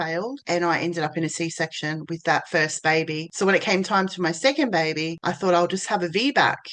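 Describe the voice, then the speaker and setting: A woman's fairly low voice in an Australian accent, fairly quick, with a quiet background. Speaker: birth doula and VBAC mentor. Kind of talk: personal story to camera. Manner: casual, conversational.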